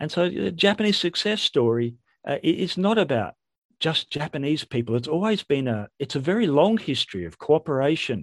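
With an Australian accent, a man speaks at a moderate pace, his fairly high pitch carrying lively intonation. The background is quiet and the sound is dry and close, with no echo. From Western Australia. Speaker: history professor. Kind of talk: interview.

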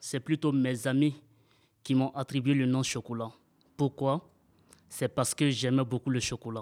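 A man's medium-pitched, monotone voice, flat and fairly slow, with long, frequent pauses, on a very clean recording with a silent background. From Ivory Coast. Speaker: radio workshop participant. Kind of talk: fictional storytelling.

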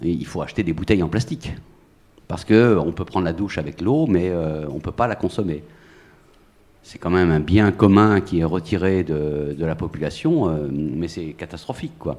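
This man's very deep, low voice holds a moderate pace with ordinary pitch variation. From Brittany, Finistère. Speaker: audience member, small-party activist. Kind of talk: audience question. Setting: public recording in a café courtyard.

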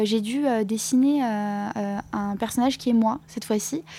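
A woman's voice over noticeable background noise. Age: 20s. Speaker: comic book author. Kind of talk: interview. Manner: halting.

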